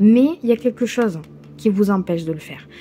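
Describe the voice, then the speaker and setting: Against noticeable background noise, a woman speaks at a medium pitch and moderate pace with ordinary pitch variation. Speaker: tarot reader. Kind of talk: tarot reading monologue. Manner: hesitant, many fillers.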